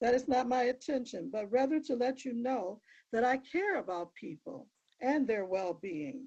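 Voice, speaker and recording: Lively intonation marks a woman's high-pitched voice at a fairly slow pace. The background is quiet. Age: 80s+. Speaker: minister. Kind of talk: court statement. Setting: courtroom. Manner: formal.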